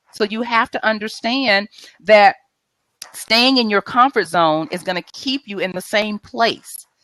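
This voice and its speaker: Bright and sharp in tone, a woman speaks in an animated way with lively intonation. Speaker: mindset coach. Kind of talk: tips presentation on live video show. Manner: fast.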